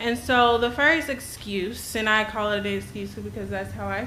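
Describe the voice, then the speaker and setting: Audible room echo and noticeable background noise surround the speaker. A woman talks at a moderate pace. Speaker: concerned parent. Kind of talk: public comment at school board meeting. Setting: school board meeting. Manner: shaky; halting.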